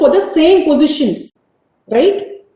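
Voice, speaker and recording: Through audible room echo, a woman speaks at a fairly slow pace with very wide pitch swings. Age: 50s. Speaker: business executive. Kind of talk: motivational talk. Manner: animated.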